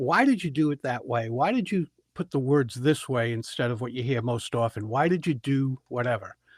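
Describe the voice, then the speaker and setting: In a very clean recording with a silent background and a dry, close sound with no echo, a man with an unremarkable speaking voice talks at a fairly quick pace, his fairly high pitch carrying lively intonation. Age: 60s. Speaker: public speaker and speaking coach. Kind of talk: podcast interview answer, conversational storytelling.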